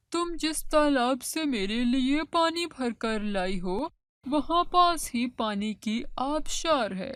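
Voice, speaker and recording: A cartoonish character voice at a fairly slow pace. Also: female-sounding voice, high pitch for a woman. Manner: gentle, kindly.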